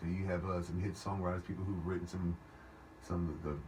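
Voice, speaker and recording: A man speaks very fast in a very deep, low voice, with audible echo in the room. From Louisiana. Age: 40s. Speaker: singer-songwriter. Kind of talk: radio interview. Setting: radio studio. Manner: halting, many repeats and fillers.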